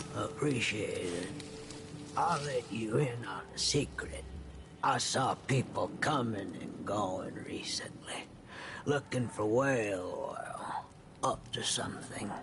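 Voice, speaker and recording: Over clear background noise, a man talks at a fairly slow pace in a put-on character voice. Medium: video game. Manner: hushed, confiding.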